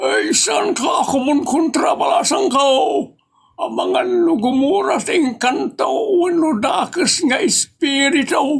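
Shouting in a high pitch at a fairly slow pace. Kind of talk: comic overacting. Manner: sly, pompous.

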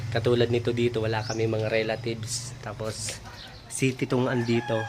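This man speaks at a fairly quick pace in a flat monotone, with noticeable background noise. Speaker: vlogger. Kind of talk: casual vlog walkthrough. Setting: walking around a house under renovation.

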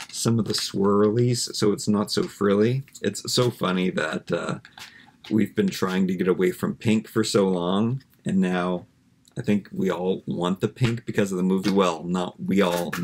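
A man with a plain, everyday voice, fairly slow and fairly even in intonation, over light background noise. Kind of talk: casual vlog chat. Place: home room. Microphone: webcam.

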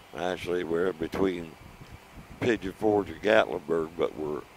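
With light noise behind him, a man speaks at a moderate pace in a very deep, low pitch with ordinary pitch variation and a dry sound with no echo. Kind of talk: casual vlog chat. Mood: relaxed, pleased. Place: motorbike. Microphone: helmet.

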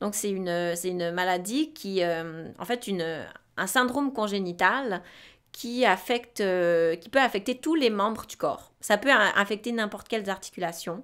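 Over a quiet background, a woman talks fairly slowly at a medium pitch with lively intonation. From Switzerland. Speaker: podcast co-host, sexology student; podcast co-host. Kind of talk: casual chat. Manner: halting, many fillers and repetitions. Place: studio. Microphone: studio mic.

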